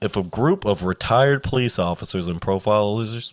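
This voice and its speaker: A man speaks at a fairly quick pace in an ordinary speaking voice, with ordinary pitch variation. The sound is dry and close with no echo, and the recording is very clean over a silent background. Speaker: podcast co-host. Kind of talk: casual banter with dark humor, occasionally reading case notes.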